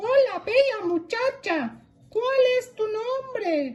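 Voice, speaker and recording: Speaking in an extremely high, squeaky put-on character voice, a woman performs. Her delivery is very slow. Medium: read story.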